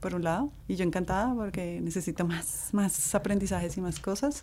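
With vocal fry, a woman talks in a dark, mellow tone. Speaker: podcast co-host. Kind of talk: casual chat. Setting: recording studio.

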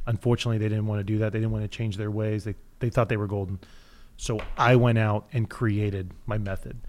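With a slight Midwestern accent, a man speaks at a fairly quick pace and fairly low pitch in a monotone, flat intonation, recorded very cleanly against a silent background. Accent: slight rural Midwest. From Kansas. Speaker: CBD store chain owner. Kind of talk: casual interview. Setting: studio.

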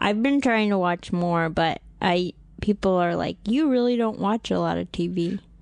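A woman's normal speaking voice at a medium pitch, with ordinary pitch variation and a moderate pace over a quiet background. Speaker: stand-up comedian. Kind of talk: casual chat. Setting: studio.

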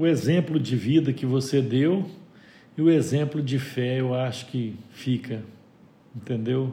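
A man speaks with medium pitch and a dark, mellow, somewhat breathy tone. His pace is fairly slow, with long, frequent pauses and ordinary pitch variation. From Minas Gerais, Brazil (João Pinheiro, northwest). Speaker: business owner. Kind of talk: interview.

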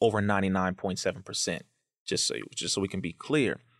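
On a very clean recording with a silent background, dry and close with no echo, a man with an American accent and a plain, everyday voice speaks at a fairly quick pace and a fairly low pitch. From Compton, California, US. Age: 30s. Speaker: activist and educator. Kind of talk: interview conversation.

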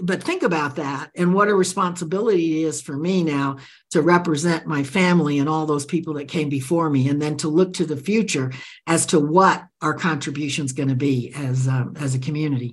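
This woman speaks at a fairly quick pace with a very deep, low pitch. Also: ordinary pitch variation. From Central America (Nicaragua). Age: 80s+. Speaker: author and leadership expert. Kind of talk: interview conversation.

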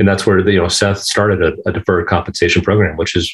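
Speaking at a very fast pace, this man has a very deep, low pitch and a somewhat breathy quality. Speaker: golf professional. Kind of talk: interview.

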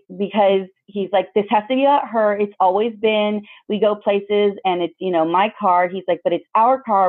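A woman at medium pitch with an American accent, an unremarkable speaking voice, moderate pace and fairly even intonation. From Mexican American community, US. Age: 30s. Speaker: mother. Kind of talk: interview.

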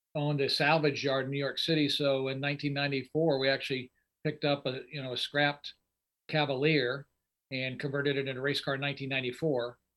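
A man with an American accent, fairly high in pitch, flat and monotone at a moderate pace. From Indianapolis, US Midwest. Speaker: drag racer. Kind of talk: casual chat.

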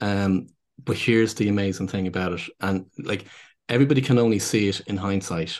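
A man with a Dublin accent speaks at a fairly quick pace, his pitch fairly low with ordinary variation. The background is quiet. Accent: Irish (Dublin). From Ireland, Dublin. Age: 50s. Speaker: business consultant and speaker. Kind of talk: casual interview conversation. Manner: halting, with many repeated words.

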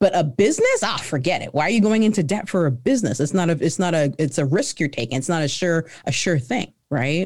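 A woman's fairly low voice with very wide pitch swings, on a very clean recording with a silent background. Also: fairly quick pace. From Canada. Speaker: entrepreneur. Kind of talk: interview.

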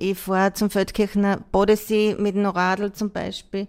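Delivered at a fairly slow pace in a monotone, flat intonation, the voice comes through on a very clean recording with a silent background. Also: woman. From rural Austria. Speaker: wheelchair dancer. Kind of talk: interview.

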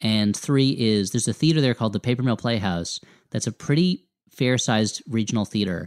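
A man with an American accent at medium pitch, ordinary pitch variation, and a dry, close sound with no echo on a very clean recording with a silent background. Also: very even loudness. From US Northeast, New Jersey. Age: 30s. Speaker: comedy writer and podcaster. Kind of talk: casual interview chat. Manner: halting, many false starts.

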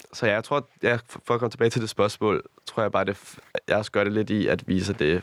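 An unremarkable speaking voice at a fairly quick pace, with a dry, close sound and no echo. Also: man. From Copenhagen area, Denmark. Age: 20s. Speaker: influencer and nightclub promoter. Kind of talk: casual interview.

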